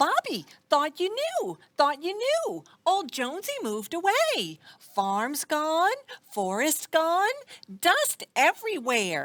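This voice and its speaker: In a cartoonish character voice, a female-sounding speaker talks at a fairly slow pace with an extremely high pitch. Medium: puppet. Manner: excitable, chirpy, repetitive.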